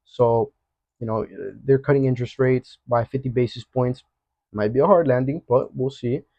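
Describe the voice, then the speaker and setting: A man's energetic voice at a medium pitch. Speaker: forex trading educator. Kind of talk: market analysis tutorial. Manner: fast; casual, energetic.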